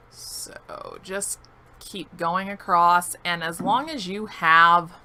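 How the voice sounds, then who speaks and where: Noticeable background noise runs under a woman speaking at a fairly low pitch. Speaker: gaming streamer. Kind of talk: live stream gameplay commentary. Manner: casual, conversational.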